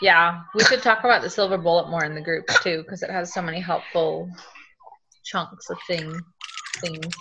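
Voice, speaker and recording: With long, frequent pauses, a woman of fairly low pitch talks at a moderate pace and keeps her intonation fairly even. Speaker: participant on business call. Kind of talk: casual group call.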